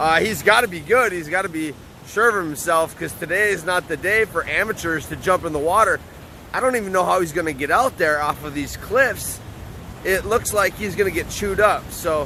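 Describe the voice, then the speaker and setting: Over noticeable background noise, a man speaks in a raised, projected voice at a high pitch. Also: ordinary pitch variation, fairly quick pace. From US Midwest (Upper Peninsula, Michigan). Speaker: podcast host. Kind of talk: casual interview. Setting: outdoors.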